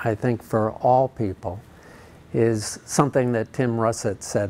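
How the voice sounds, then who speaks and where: A man speaks very slowly with an American accent, his intonation fairly even. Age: 60s. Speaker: charity cyclist and founder. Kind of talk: interview.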